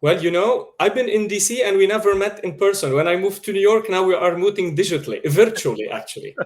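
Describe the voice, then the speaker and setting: A high-pitched man speaks very fast with a strong Lebanese accent. His pitch variation is ordinary, and he leaves hardly any pauses. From Lebanon, Beirut. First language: Arabic/French (trilingual). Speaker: media producer. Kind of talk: interview. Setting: video call.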